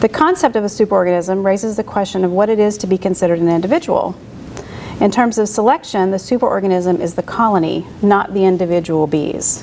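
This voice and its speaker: A woman at a very fast pace, medium in pitch with ordinary pitch variation, over noticeable background noise. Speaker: beekeeper giving a talk. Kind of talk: lecture. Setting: club meeting with audience. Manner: soft-spoken.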